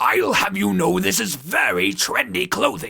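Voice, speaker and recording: A man puts on a raspy character voice at a medium pitch. His delivery moves at a moderate pace. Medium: audio drama.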